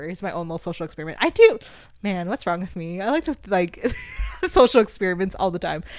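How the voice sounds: A soft-spoken woman talks at a fast pace, her fairly low voice making big pitch swings.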